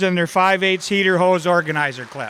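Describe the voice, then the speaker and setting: Loud and bright with a sharp tone, a man talks at a moderate pace in a very clean recording with a silent background. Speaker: awards presenter. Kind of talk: awards ceremony announcement.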